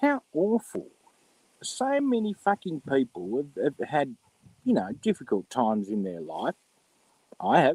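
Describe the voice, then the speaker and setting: In a dry, close sound with no echo, a man with an Australian accent speaks at a fairly slow pace with long, frequent pauses. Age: 50s. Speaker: live streamer. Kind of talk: casual live stream rant. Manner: animated.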